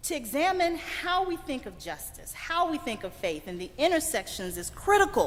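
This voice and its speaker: Speaking with a Mississippi accent, a woman sounds animated at a moderate pace, her pitch making very wide swings. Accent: Southern US (Mississippi). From US South, Greenville, Mississippi. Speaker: keynote speaker, environmental advocate. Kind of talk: keynote address. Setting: church sanctuary, stage with audience. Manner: animated, preacher-like.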